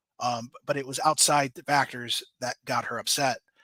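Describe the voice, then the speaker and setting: A man speaks at a moderate pace in a bright, sharp tone. The sound is dry and close with no echo, on a very clean recording with a silent background. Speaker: true crime podcast host. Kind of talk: live stream chat reading viewer comments. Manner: stammering, hesitant; casual, filler-heavy.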